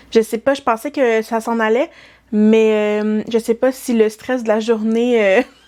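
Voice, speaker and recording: A woman speaks very slowly in a Quebec accent, her fairly high voice carrying a dark, mellow tone. Her intonation stays flat and monotone throughout. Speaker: knitting vlogger. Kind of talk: casual vlog talk. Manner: hesitant, many fillers.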